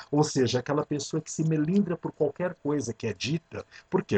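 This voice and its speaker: A man is heard with a dry, close sound that has no echo. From Brazil, São Paulo city. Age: 50s. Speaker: podcast host, transpersonal psychology. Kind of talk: reflective monologue.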